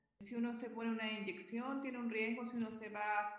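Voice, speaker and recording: Noticeable background noise and audible room echo surround a woman speaking at a fairly high pitch with fairly even intonation. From southern Chile (Concepción). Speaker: physician and health quality consultant. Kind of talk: interview.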